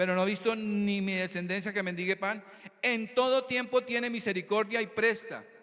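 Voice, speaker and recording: A man's high-pitched voice with fairly even intonation over noticeable background noise. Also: moderate pace. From Colombia, Tolima (Armero). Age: 60s. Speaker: preacher. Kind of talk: sermon.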